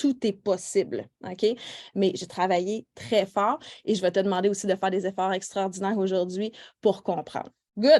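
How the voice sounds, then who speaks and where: A woman speaks fairly slowly in a Quebec accent, her pitch medium with ordinary variation. Her tone is dark and mellow. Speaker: nail technician trainer. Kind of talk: live online workshop. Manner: casual, many fillers.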